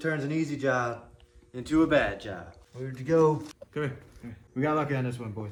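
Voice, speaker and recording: A man mumbling at a fairly quick pace, medium pitch and ordinary pitch variation, big swings in loudness, audible room echo and noticeable background noise. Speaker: home mechanic. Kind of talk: tutorial. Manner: casual.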